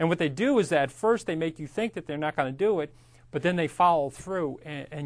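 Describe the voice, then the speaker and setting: A man speaks at a fairly quick pace in a plain, everyday voice. His pitch is fairly high, with ordinary variation. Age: 50s. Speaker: real estate instructor. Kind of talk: lecture. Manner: casual, conversational.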